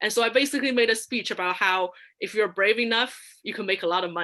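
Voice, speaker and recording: A woman with a non-native accent speaks at a fairly quick pace in a bright, sharp tone with ordinary pitch variation, in a very clean recording with a silent background. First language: not English. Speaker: public speaking contest finalist. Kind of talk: workshop talk. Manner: halting, many fillers and restarts.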